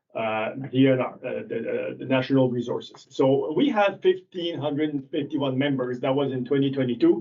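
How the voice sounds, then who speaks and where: Speech at a moderate pace with a French accent. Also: man. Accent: French accent, noticeable. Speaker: ATV club representative. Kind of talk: presentation to town council. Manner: halting.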